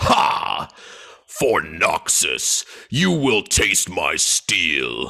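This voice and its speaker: In a put-on character voice, a man speaks at a very slow pace with a very deep, low pitch and very wide pitch swings. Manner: fierce, commanding.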